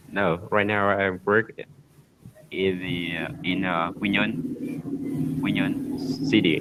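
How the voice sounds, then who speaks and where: Amid noticeable background noise, a man with a Vietnamese accent speaks at a very slow pace. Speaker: army officer, English learner. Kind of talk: casual conversation lesson. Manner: halting.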